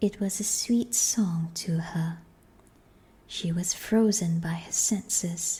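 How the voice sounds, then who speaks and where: Very slowly, the soft-spoken speaker delivers the words. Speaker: audiobook narrator. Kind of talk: reading aloud.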